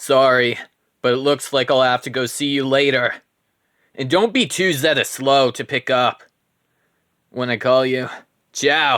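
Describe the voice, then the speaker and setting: A man's put-on character voice at medium pitch and moderate pace, with long, frequent pauses, in a very clean recording with a silent background. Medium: solo performance. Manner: loud, brash, math-pun laden.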